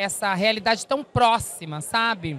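A woman with a fairly high pitch speaks in an animated tone, the sound dry with no echo. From southern Brazil, interior of Rio Grande do Sul. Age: 40s. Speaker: actress and singer; actress. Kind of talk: press interview. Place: hall. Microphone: handheld.

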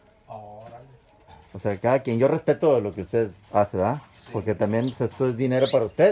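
A man at a medium pitch and fairly quick pace, with ordinary pitch variation and light background noise. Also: big swings in loudness. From northern Mexico, Sabinas area; northern Mexico. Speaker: YouTube vlogger. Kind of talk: casual field interview; vlog direct-to-camera address. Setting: outdoors outside a house. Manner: animated.

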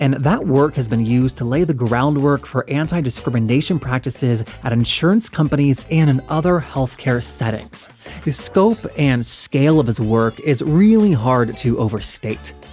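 With music in the background, a man talks at medium pitch and a moderate pace, with very even loudness and hardly any pauses. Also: lively intonation. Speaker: podcast host. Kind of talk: podcast interview host.

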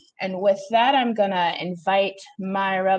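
A woman is speaking. She keeps a moderate pace. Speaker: discussion moderator. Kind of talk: moderated panel discussion. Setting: video call. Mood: solemn, earnest. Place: home room. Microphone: earbuds.

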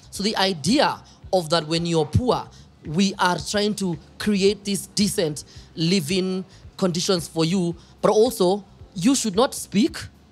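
A man's high-pitched voice at a fairly slow pace, with ordinary pitch variation and music in the background. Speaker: podcast host. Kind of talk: casual interview. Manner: animated, laughs often.

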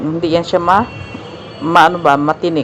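Fairly quick speech from a woman, music playing in the background. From Philippines. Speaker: vlogger. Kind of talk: market vlog narration. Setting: outdoor market.

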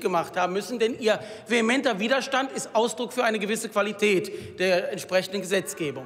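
A man's voice rises and falls animatedly as he speaks at an average speed, with faint noise in the background. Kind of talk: parliamentary speech. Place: hall. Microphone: podium.

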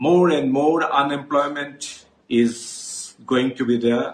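Audible room echo surrounds a man talking at a very slow pace. His pitch is fairly high and his intonation fairly even. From India, Assam. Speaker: politician. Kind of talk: political statement to camera. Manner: formal. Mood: serious, concerned. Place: home room. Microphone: earbuds.

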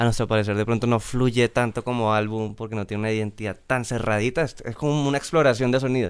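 A man talks with fairly even intonation, nothing much heard behind him. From Colombia, Bogotá. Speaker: pop band musician; guest. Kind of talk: casual interview chat. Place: studio. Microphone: studio mic.

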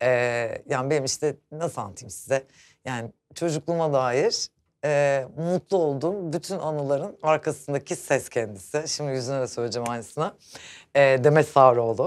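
A woman's very deep, low pitch carries ordinary pitch variation. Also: moderate pace. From Turkey. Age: 40s. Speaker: show host. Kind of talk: casual chat. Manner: animated.

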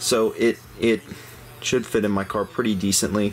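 A man talks in a plain, everyday voice at a fairly low pitch and a fairly slow pace. His intonation is fairly even, and there is light background noise. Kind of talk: product unboxing review. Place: home room. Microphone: phone near.

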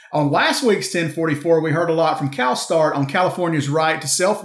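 Audible room echo surrounds a man speaking at a fairly quick pace. His voice is high, with ordinary pitch variation. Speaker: trucking news show host. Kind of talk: scripted news presentation.

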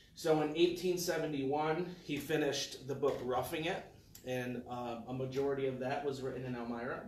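Audible room echo and light background noise around a male speaker. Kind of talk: lecture. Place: meeting room. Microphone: camera far.

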